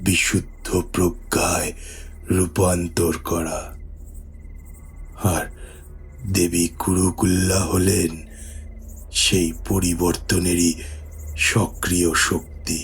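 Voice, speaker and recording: A put-on character voice from a man, very deep and low, very slow and solemn in tone, with very even loudness over clear music in the background. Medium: audio drama. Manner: solemn, measured.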